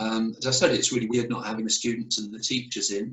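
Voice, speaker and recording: Using fairly even intonation, a man with a British accent talks at a fairly quick pace. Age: 60s. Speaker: mission worker. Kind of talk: casual chat. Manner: hesitant, many fillers.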